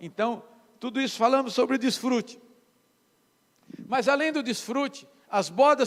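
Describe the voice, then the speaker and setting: At a moderate pace, a man speaks at an extremely high pitch. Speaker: pastor. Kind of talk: sermon.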